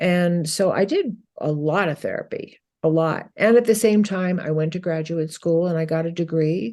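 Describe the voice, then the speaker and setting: Against a quiet background, a woman speaks in a dark, mellow tone. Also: fairly low pitch for a woman, ordinary pitch variation, moderate pace. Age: 70s. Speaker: psychotherapist and author. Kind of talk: interview.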